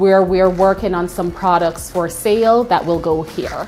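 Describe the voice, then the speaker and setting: A woman with a Jamaican accent speaks at a medium pitch and a fairly slow pace. Music plays behind her. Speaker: cafe owner. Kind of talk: interview and shop tour. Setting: in her cafe.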